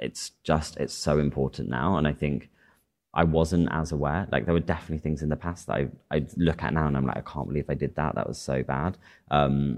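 In a Cheshire accent, a man with a very deep, low pitch and vocal fry talks at a fairly quick pace with fairly even intonation. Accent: northern English (Cheshire). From northern England, Chester. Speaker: fashion designer. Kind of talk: interview on stage. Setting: stage with small live audience.

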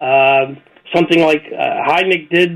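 A man with a high pitch talks with ordinary pitch variation. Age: 70s. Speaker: opinion writer and commentator. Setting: radio show interview.

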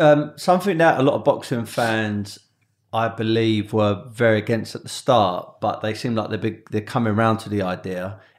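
With ordinary pitch variation and a medium pitch, a man speaks at a moderate pace. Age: 30s. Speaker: podcast host. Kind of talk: casual interview. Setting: in-person studio recording. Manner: hesitant, many fillers and repetitions.

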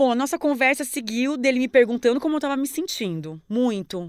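A woman talks in a high pitch with very wide pitch swings at a moderate pace. The recording is very clean, with a silent background. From Paraná, Brazil (interior, near Paraguay). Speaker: journalist. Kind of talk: casual interview.

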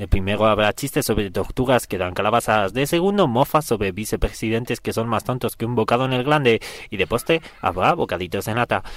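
A man with a plain, everyday voice talks at a fairly quick pace, his medium pitch rising and falling in an ordinary way. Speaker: comedy radio contributor. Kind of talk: satirical scripted segment.

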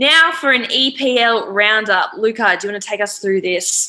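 In a very clean recording with a silent background, a woman with an Australian accent speaks at a fairly slow pace. Her medium-pitched voice has a bright, sharp tone and ordinary pitch variation. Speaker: radio sports presenter. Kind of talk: casual sports radio chat. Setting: radio studio.

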